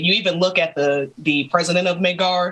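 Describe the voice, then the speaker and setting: A woman speaks with an American accent at a fairly low pitch. Her pace is moderate, with ordinary pitch variation. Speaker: gaming YouTuber. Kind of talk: casual chat.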